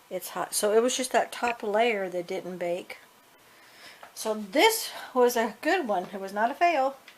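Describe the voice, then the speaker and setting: Over noticeable background noise, a woman speaks fairly slowly in a fairly high pitch with lively intonation. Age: 60s. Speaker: home cooking video creator. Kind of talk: casual cooking tutorial. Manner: chatty, informal.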